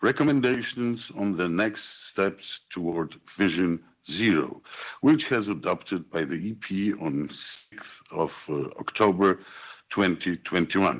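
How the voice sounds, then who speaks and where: A man with a Polish accent speaks at a fairly slow pace with a very deep, low pitch and lively intonation. The recording is very clean, with a silent background. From Poland. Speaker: politician. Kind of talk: formal speech. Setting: conference venue. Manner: formal.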